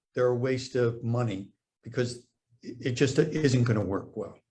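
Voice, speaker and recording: The speaker is a man going at a moderate speed. There is a somewhat breathy quality to his voice. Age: 70s. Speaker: doctor. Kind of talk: interview. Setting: Facebook live stream. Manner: hesitant, many fillers.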